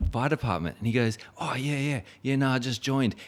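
This man speaks with an Australian accent. His pitch varies in an ordinary way. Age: 40s. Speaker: podcast host. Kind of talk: casual chat. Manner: halting.

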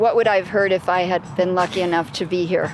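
A woman talks at a fairly quick pace and medium pitch, with fairly even intonation. Background noise is noticeable. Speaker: radio host. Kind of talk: radio interview.

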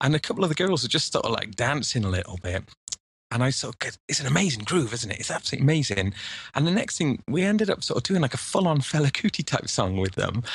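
A man with a fairly high pitch speaks at a very fast pace, his voice making very wide pitch swings. The background is quiet. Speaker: music producer and educator. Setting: video call.

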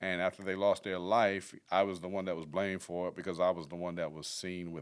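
On a very clean recording with a silent background, a man with a very deep, low pitch and an American accent talks at a fairly quick pace. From Fayetteville, North Carolina. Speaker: former prisoner, filmmaker and author. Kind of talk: casual interview, personal testimony.

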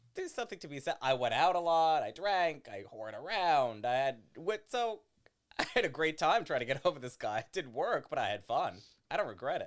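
This man's fairly high voice moves through very wide pitch swings. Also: fairly quick pace. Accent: American. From Los Angeles, US. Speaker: comedian. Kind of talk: casual chat.

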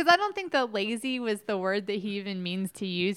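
A woman with an American accent talks fairly quickly at a medium pitch against noticeable background noise. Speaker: podcast co-host. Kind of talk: casual chat between spouses.

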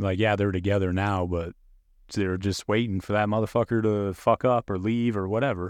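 In a quiet background, a man's fairly low voice comes through dry and close with no echo. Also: moderate pace. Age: 30s. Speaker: podcast co-host. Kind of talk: casual chat.

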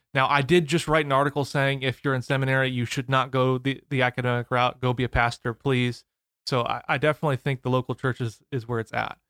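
With an American accent and a medium pitch, a man speaks at a very fast pace in a dry, close sound with no echo. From US Midwest, St. Louis area (Missouri/Illinois). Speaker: theology PhD student and podcaster. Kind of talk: casual interview. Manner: enthusiastic.

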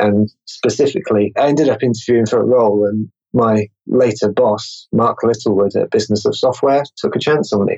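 With an English accent, a man talks at a fairly quick pace. His loudness stays very even, and his pitch varies in an ordinary way. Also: medium pitch for a man. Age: 20s. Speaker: marketer and meetup organizer. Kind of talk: interview.

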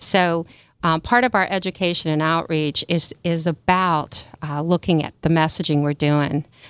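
In a very clean recording with a silent background, a woman with an American accent uses an ordinary speaking voice, fairly low in pitch, at a moderate pace with fairly even intonation. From Maryland, US. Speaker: CEO of a family violence nonprofit. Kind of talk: radio interview.

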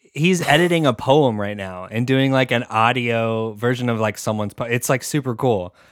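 The man has a normal speaking voice at medium pitch. He moves at a moderate pace with ordinary pitch variation. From Portland, Oregon. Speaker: podcaster and video editor. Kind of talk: casual chat. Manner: joking, playful.

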